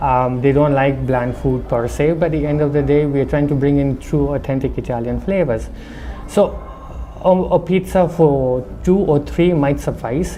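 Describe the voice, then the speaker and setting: Noticeable background noise accompanies speech at a moderate pace with a slight non-native accent. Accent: slight foreign accent from living abroad. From India, Darjeeling. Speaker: restaurant owner. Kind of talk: interview.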